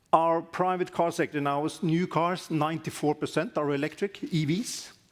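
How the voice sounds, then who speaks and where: A loud, high-pitched man at a moderate pace with fairly even intonation, on a very clean recording with a silent background. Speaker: aviation regulator. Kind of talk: conference presentation.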